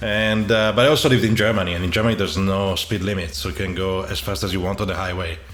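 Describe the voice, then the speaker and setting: Speaking very fast with hardly any pauses, a man with an Italian accent uses a fairly low pitch and ordinary pitch variation, with audible room echo and noticeable background noise behind him. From Italy. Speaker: podcast host. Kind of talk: casual interview.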